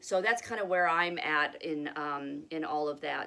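Her voice is very deep and low, with a bright, sharp tone. The woman speaks at a moderate pace with ordinary pitch variation. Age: 40s. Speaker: video blogger sharing health journey. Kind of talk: casual vlog monologue. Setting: home with pets. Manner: hesitant, many fillers. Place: home room. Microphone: phone near.

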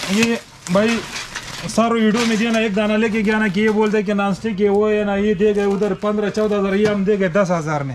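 A man's high-pitched voice at a fairly quick pace, with light background noise. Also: fairly even intonation. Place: shop. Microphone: phone near.

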